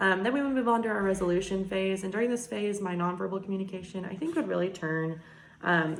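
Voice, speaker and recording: A woman speaks at a medium pitch with ordinary pitch variation. Noticeable background noise and audible room echo are present. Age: young. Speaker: nursing student. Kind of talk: class presentation video. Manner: fast; energetic.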